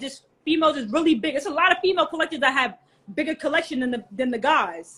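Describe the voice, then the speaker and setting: A woman with a New York accent and a high pitch speaks at a very fast pace. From New York, Queens. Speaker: hat collector and community co-founder. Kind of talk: interview. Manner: casual.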